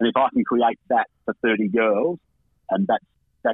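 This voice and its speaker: Speaking with an Australian accent, a man moves at a fairly quick pace in a medium pitch with ordinary pitch variation. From Camperdown, western Victoria, Australia. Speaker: women's football coach. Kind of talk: phone radio interview. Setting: phone call.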